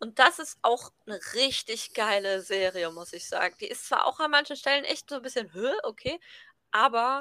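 Raised and projected, a woman's high-pitched voice has a bright, sharp tone and lively intonation, with a dry, close sound with no echo and a very clean recording, silent background. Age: 20s. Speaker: podcast co-host, university student. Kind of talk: casual chat.

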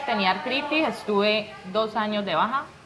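A woman with a fairly high voice is heard through audible room echo and noticeable background noise. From Colombia, Pradera, Valle del Cauca. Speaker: domestic worker. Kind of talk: interview. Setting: restaurant back room.

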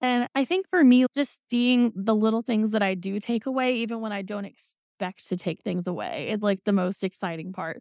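In an American accent, a woman with an unremarkable speaking voice talks at a moderate pace with hardly any pauses, her fairly high pitch carrying lively intonation in a dry, close sound with no echo. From Indiana. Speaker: pole dancer and burlesque performer. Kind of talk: casual chat.

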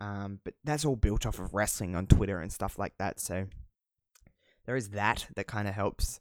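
On a very clean recording with a silent background, a voice with an Australian accent and ordinary pitch variation sounds dry and close with no echo. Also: man, fairly low pitch for a man, moderate pace, big swings in loudness. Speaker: podcast host. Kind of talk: solo casual monologue. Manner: casual, rambling, swears often.

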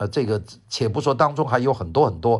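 Somewhat breathy and with lively intonation, a man speaks at a medium pitch. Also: quiet background. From Guangzhou, then Wuhan. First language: Cantonese (speaking Chinese). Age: 70s. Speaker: professor and radio host. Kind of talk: memoir talk. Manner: relaxed, many fillers.

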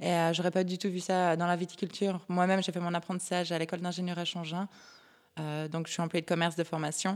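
At a very fast pace, a woman speaks in a monotone, flat intonation. Her pitch is fairly low, and the recording is very clean with a silent background. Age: 30s. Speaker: craft brewery partner. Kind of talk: interview.

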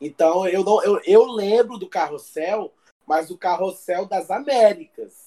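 Speaking at a very slow pace, a man uses a high pitch, a dark, mellow tone and lively intonation. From Brazil. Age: 30s. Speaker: co-host. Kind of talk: casual chat.

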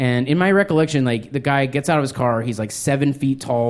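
An unremarkable speaking voice comes through with an American accent. It moves at a fairly quick pace with fairly even intonation. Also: man. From New Mexico, US. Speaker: stand-up comedian. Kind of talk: stand-up. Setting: stage with audience.

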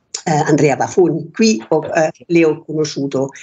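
The speaker is a woman with a German accent. Her pitch is fairly low. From Germany. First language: German (speaking Italian). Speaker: painter. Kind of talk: radio interview. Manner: halting.

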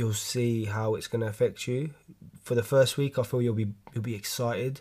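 Recorded very cleanly against a silent background, a man talks at a moderate pace. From London. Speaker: podcast host, gym fitness talk. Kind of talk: solo casual monologue podcast. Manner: casual, rambling, animated.

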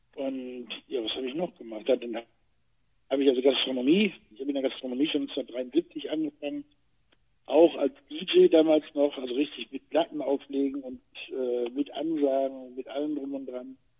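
This man has a plain, everyday voice, fairly high in pitch, with fairly even intonation. He talks at a moderate pace, and his loudness swings widely. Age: 60s. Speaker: retired actor and podcast co-host. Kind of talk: casual chat.

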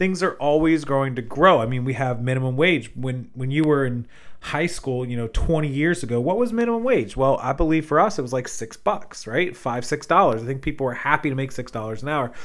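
A man with an American accent talks fairly quickly in an unremarkable speaking voice, fairly high in pitch, with lively intonation. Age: 30s. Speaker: podcast host, online reseller. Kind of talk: solo monologue podcast. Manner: casual, many filler words.

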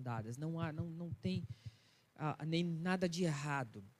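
At a moderate pace, a man talks in a plain, everyday voice that sits fairly high in pitch. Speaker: pastor. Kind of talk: sermon. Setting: church.

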